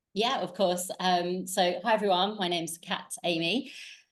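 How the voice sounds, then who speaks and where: A woman with an English accent speaks at a moderate pace in a fairly low voice. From southern England, Southampton. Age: 40s. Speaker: life coach. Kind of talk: podcast interview.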